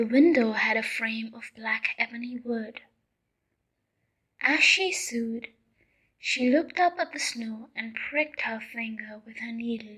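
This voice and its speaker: Soft-spoken delivery at a fairly slow pace, with long, frequent pauses. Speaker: ASMR storyteller. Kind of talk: sleep story.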